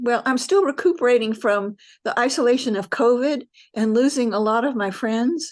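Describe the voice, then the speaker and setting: A woman with an American accent speaks at a high pitch. Her pace is moderate, and the background is quiet. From US South, Nashville, Tennessee. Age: 70s. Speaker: practice group participant. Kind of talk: group sharing circle. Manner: halting.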